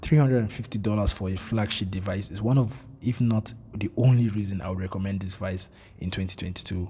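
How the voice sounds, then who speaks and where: Somewhat breathy and dark, mellow in tone, a man speaks very fast at a fairly low pitch with fairly even intonation. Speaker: tech reviewer. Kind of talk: tech review monologue. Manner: slightly monotone.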